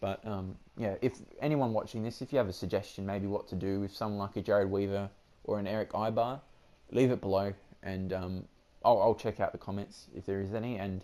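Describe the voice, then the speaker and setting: Fairly low-pitched male voice with an Australian accent, dark and mellow in tone, fairly quick in pace, with fairly even intonation, on a very clean recording with a silent background. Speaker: gaming YouTuber. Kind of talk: gameplay commentary. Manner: casual, hesitant with many fillers.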